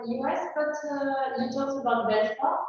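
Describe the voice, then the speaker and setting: A woman speaks at a high pitch. Room echo is audible. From France. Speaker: audience member. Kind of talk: audience question.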